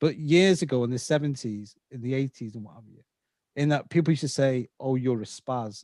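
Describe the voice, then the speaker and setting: Talking at a fairly quick pace with a slight Scouse accent, a man uses a medium pitch and ordinary pitch variation. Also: big swings in loudness. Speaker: podcast host. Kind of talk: interview.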